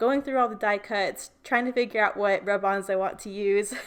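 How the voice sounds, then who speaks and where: Recorded very cleanly with a silent background, a woman talks at a fairly quick pace, her pitch medium and her intonation fairly even. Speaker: scrapbooking content creator. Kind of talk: voiceover tutorial narration. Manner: fast; casual with many fillers.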